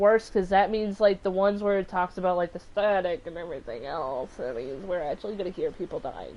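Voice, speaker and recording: Someone with an American accent talks at a very fast pace, with hardly any pauses. The loudness swings widely. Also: woman. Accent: southern accent comes out when upset. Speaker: gaming streamer. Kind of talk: live gameplay commentary. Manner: animated.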